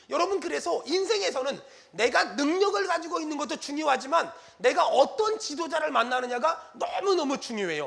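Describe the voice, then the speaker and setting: Over noticeable background noise, a man talks at a fairly quick pace in an animated tone, his pitch extremely high and his intonation lively. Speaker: pastor. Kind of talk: sermon. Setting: church.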